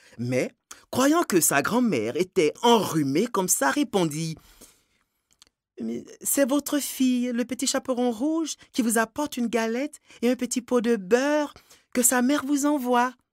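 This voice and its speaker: Lively intonation at a fairly slow pace with long, frequent pauses, in a dry, close sound with no echo. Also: man, extremely high pitch for a man. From Ivory Coast. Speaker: storyteller. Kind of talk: fairy tale telling.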